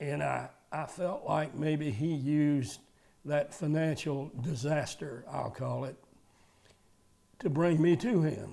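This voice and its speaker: A man with a Southern US accent, fairly high-pitched, with a dark, mellow tone, fairly even intonation and a very slow pace. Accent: Southern US (Georgia). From Georgia, US South. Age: 80s+. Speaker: retired car dealer. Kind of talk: testimony. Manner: halting.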